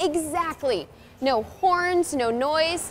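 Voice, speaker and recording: With music in the background, a high-pitched woman speaks in an upbeat, playful tone. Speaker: TV host and journalist. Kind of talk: TV travel and lifestyle hosting.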